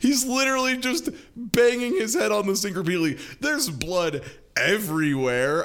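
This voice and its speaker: Over noticeable background noise, a man speaks fairly slowly with very wide pitch swings. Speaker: podcast host. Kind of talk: casual chat, podcast discussion.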